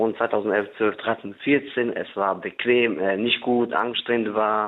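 A man with a fairly low pitch talks in a monotone, flat intonation. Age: 20s. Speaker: caller, recognised refugee. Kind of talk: phone-in conversation.

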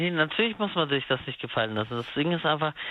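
Speaking in a plain, everyday voice, a man uses lively intonation at a fairly high pitch. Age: 30s. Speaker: caller. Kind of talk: phone-in call about being cheated on. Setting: phone call.

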